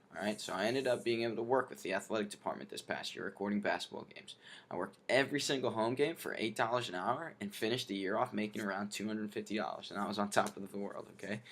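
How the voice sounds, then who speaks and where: At a very fast pace with hardly any pauses, a man talks in a fairly low pitch with ordinary pitch variation. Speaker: network marketing recruit; college student athlete. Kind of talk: practice sales pitch read from script. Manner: halting, no rhythm.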